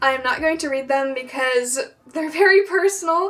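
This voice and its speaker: A woman keeps a moderate pace while noticeable background noise carries on behind her. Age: 18. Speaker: student vlogger. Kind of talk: casual vlog talk. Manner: halting, frequent 'like' fillers.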